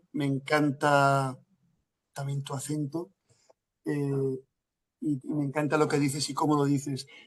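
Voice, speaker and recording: A man speaks with a Galician accent. His pace is fairly slow. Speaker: lecturer, family institute director. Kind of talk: answering audience in Q&A. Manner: hesitant, many fillers.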